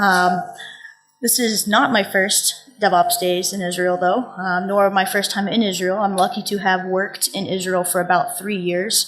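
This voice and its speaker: With music playing behind, the speaker talks fairly slowly in a flat monotone with an American accent. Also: woman. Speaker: conference speaker. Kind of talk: conference talk. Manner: casual.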